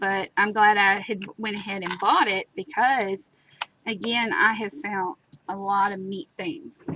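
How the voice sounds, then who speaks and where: A woman with an American accent speaks at a fairly slow pace with ordinary pitch variation, in a dry, close sound with no echo. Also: medium pitch for a woman. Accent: country twang. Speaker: craft tutorial host. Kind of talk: live crafting tutorial. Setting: live stream. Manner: chatty, casual.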